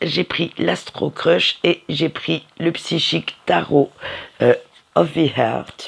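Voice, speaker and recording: A man uses a put-on character voice that is raspy and fairly high in pitch. He speaks at a very slow pace. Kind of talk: casual tarot reading presentation.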